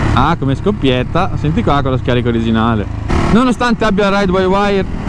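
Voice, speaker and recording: A man speaks at a fairly quick pace in a dry sound with no echo, against noticeable background noise. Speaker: motorcycle vlogger test rider. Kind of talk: casual vlog chat. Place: motorbike. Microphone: helmet.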